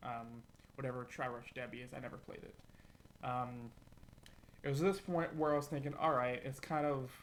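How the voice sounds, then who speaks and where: With audible room echo, a man with a fairly high pitch speaks at a fairly quick pace and ordinary pitch variation. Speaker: music reviewer. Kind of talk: album review monologue. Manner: halting, stuttering; rushed.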